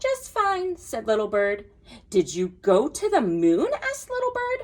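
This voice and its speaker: A woman's put-on character voice, squeaky and extremely high-pitched, at a moderate pace. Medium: read story. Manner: chirpy.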